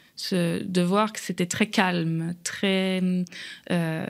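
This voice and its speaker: A woman's medium-pitched voice on a very clean recording, silent background. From France. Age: 30s. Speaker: immigrant guest. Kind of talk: podcast interview.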